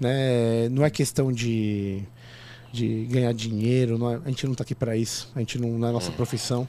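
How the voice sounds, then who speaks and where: A man's unremarkable speaking voice, medium in pitch, with fairly even intonation and a moderate pace. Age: 30s. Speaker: podcast host. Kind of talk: casual chat.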